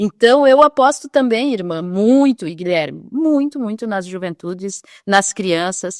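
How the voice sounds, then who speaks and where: Very wide pitch swings mark a woman's very slow speech on a very clean recording with a silent background. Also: dry, close sound with no echo. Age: 60s. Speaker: social worker at a church charity. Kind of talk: podcast interview.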